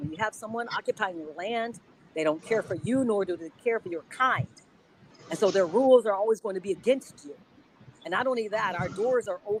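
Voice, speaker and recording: Passionate tone and lively intonation, dry and close with no echo, over noticeable background noise. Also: woman. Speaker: activist panelist. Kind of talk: panel discussion.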